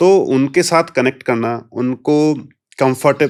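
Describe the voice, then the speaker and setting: In a very clean recording with a silent background, a man with a Punjabi accent speaks at a fairly high pitch with ordinary pitch variation. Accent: Hindi with Punjabi touch. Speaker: police officer. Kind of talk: interview.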